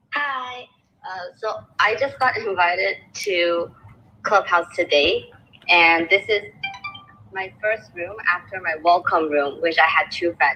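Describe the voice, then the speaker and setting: Music plays in the background as a woman with a medium pitch speaks. Her pace is very slow and her intonation lively. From China, raised in US and Canada. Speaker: nutrition graduate. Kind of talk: casual chat. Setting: audio chat room. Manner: halting.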